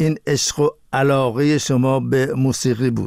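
An ordinary speaking voice from a man, medium in pitch with ordinary pitch variation, at a moderate pace on a very clean recording with a silent background. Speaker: interview show host. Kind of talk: interview. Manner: formal.

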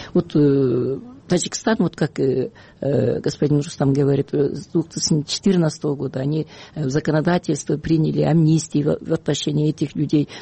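A woman's somewhat breathy, very deep, low voice at a moderate pace, with ordinary pitch variation. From Kyrgyzstan. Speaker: human rights activist. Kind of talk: radio interview. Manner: halting, many fillers.

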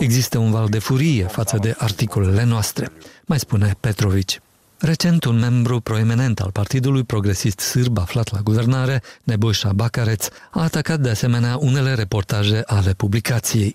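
Somewhat breathy speech, dark and mellow in tone, at a moderate pace with very even loudness, ordinary pitch variation and a dry, close sound with no echo. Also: man, medium pitch for a man. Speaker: radio journalist. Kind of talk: news reading.

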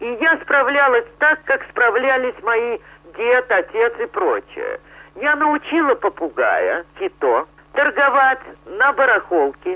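A woman speaks very slowly in a high voice that swings very widely in pitch. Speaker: circus animal trainer. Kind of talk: interview.

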